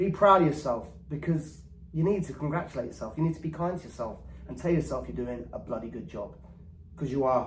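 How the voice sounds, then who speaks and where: With an English accent, a man speaks at a moderate pace, somewhat breathy and with ordinary pitch variation. Audible room echo surrounds his voice. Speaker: former pop star turned diabetes vlogger. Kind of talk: casual vlog monologue. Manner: eccentric, rambling delivery during hypo.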